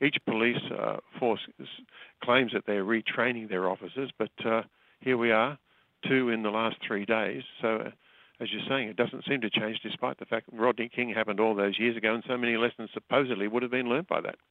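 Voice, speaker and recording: A normal speaking voice from a man, medium in pitch and fairly quick, with fairly even intonation. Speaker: foreign correspondent. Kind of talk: news interview. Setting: phone call.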